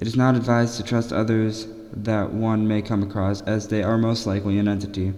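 A man's nervous, monotone voice with flat intonation, a fairly quick pace and very even loudness, set against noticeable background noise. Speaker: podcast host. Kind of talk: reading aloud. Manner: nervous, stumbling.

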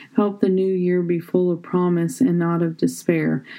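Using an ordinary speaking voice, a woman talks at a fairly slow pace, her fairly low pitch varying in an ordinary way. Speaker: devotional reader. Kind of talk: fervent prayer, spoken devotional. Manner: earnest, fervent, pleading; rhythmic, repetitive cadence.

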